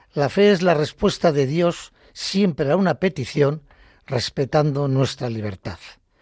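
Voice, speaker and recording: Recorded very cleanly with a silent background and a dry, close sound with no echo, a man speaks at a fairly high pitch, somewhat breathy, with lively intonation. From Basque Country, Bilbao. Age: 70s. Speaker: retired lay catechist. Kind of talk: faith testimony on radio. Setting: radio studio.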